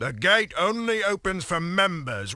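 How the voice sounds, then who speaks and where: In a put-on character voice, a man talks at a moderate pace with a high pitch. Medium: video game. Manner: blunt, folksy.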